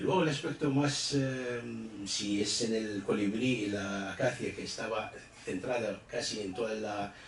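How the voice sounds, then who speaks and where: A man's fairly low voice at a moderate pace, with ordinary pitch variation, audible room echo and noticeable background noise. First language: Arabic (speaking Spanish). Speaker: book presenter, literary commentator. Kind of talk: book presentation speech. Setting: event hall with audience. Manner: halting, many fillers.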